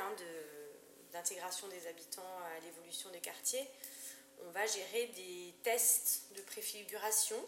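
A woman speaks at a medium pitch and a fairly slow pace. There is audible room echo and noticeable background noise. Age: 40s. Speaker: architect. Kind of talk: interview. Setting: at her home. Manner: halting, many hesitations.

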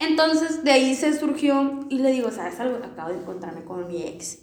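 A woman speaks in a high pitch with very wide pitch swings. Noticeable background noise and audible room echo fill the recording. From Sinaloa, Mexico; raised partly on a ranch. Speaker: podcast guest. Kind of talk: casual chat.

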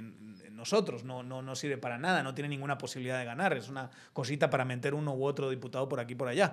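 With ordinary rises and falls in pitch, a man delivers his words at a very fast clip. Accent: Castilian. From Spain, Zamora. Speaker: podcast host and political analyst. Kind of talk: casual political discussion. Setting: studio.

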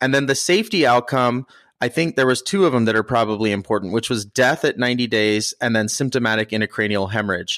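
In an ordinary speaking voice, a man talks at a fairly quick pace at medium pitch with ordinary pitch variation, in a very clean recording with a silent background and a dry, close sound with no echo. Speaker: podcast host, emergency physician. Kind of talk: podcast discussion of a medical study, casual but informed.

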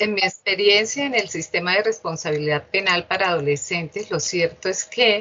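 This is a woman with an unremarkable speaking voice. Her pitch is medium, with ordinary pitch variation. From Colombia, Bucaramanga (Santander). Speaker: judge. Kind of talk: interview. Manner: formal.

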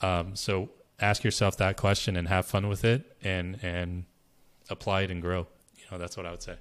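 A man with a very deep, low pitch and monotone, flat intonation. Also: moderate pace, very clean recording, silent background. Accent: American. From US, Berkeley, California. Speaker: brand strategist. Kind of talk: interview.

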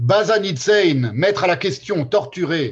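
Lively intonation marks this man's high-pitched voice. He talks at a very slow pace. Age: 50s. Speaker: philosophy seminar lecturer. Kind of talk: lecture. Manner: halting.

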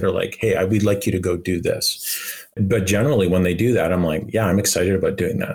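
Somewhat breathy and fairly low, a man with a Canadian accent talks at a fairly quick pace with fairly even intonation. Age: 50s. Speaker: video game director. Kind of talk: interview.

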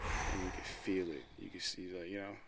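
A man with a fairly low pitch and an unremarkable speaking voice keeps a moderate pace. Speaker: podcast co-host. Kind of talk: casual chat.

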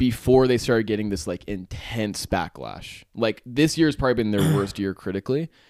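On a very clean recording with a silent background, a man speaks at a medium pitch. He moves at a fairly quick pace with lively intonation. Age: 20s. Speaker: podcast host. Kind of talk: casual chat.

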